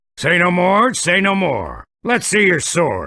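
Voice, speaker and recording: A raspy, high-pitched put-on character voice from a man, at a fairly slow pace. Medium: machinima. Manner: brash, insulting, blustery.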